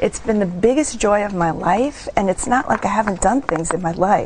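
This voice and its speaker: The speech moves at a fairly quick pace. Noticeable background noise can be heard behind it. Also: woman. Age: 60s. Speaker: older mother and healing practitioner. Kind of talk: TV interview.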